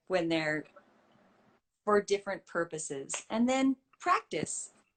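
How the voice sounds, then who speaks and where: Speaking in a Canadian accent at a medium pitch, a woman moves at a fairly slow pace with very wide pitch swings and long, frequent pauses. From Canada, Saskatoon. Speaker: voiceover artist. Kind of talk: interview.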